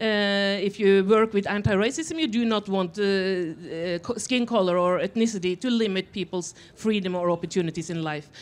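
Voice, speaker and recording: Speaking with a Norwegian accent, a woman barely pauses, her pitch varying in an ordinary way. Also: moderate pace. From Norway. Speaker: author; panelist. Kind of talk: panel discussion. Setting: festival stage with audience. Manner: halting. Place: stage. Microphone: handheld.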